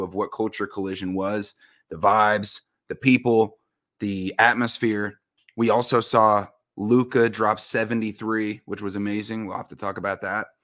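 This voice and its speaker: A man's fairly low voice, an ordinary speaking voice, with fairly even intonation at a moderate pace over a quiet background. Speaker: podcast co-host. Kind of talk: podcast intro talk. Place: home room.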